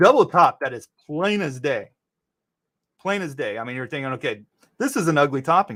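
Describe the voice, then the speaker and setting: This man talks at a fairly quick pace in a fairly high pitch, with very wide pitch swings and big swings in loudness. He leaves long, frequent pauses. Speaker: stock market livestreamer. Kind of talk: livestream market commentary. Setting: livestream. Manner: fast; casual, conversational.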